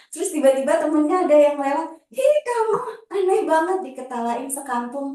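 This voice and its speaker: With very wide pitch swings, a woman at a high pitch speaks at a moderate pace amid audible room echo. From Java, Banyuwangi. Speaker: public speaking trainer. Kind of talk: workshop talk. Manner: casual, conversational.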